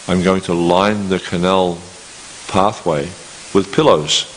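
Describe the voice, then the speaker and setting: A man speaks in a very deep, low voice with fairly even intonation. Noticeable background noise runs under his words. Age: 60s. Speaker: scripture lecturer. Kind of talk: lecture. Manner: halting, many repetitions.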